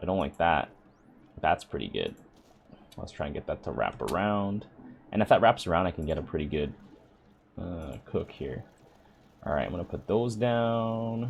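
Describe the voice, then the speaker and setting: Talking at a moderate pace with long, frequent pauses, a man uses a very deep, low voice and lively intonation. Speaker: gaming YouTuber. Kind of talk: gameplay commentary. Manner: casual, thinking aloud; loud.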